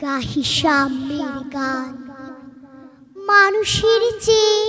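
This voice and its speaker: A woman's raised, projected voice carries a bright, sharp tone and lively intonation. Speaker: poetry reciter. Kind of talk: poetry reading. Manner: emotional, expressive.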